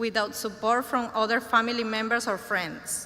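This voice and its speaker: A woman with a Spanish accent speaks at a moderate pace in a fairly high pitch, with audible room echo and noticeable background noise. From Venezuela. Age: 30s. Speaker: graduating student. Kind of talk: graduation speech. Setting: ceremony stage with audience. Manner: halting, self-correcting.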